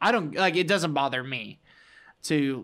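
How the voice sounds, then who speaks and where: A man with a fairly high pitch, lively intonation and an ordinary speaking voice, in a very clean recording with a silent background. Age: 20s. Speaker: podcast co-host. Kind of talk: casual chat. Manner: laughs often.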